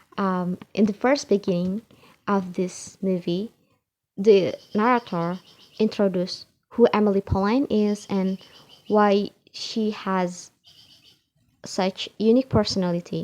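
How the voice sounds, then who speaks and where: A woman's medium-pitched voice in an Indonesian accent, fairly slow, with fairly even intonation and long, frequent pauses. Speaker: English learner. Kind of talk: IELTS speaking practice answer to camera. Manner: hesitant, with filler sounds.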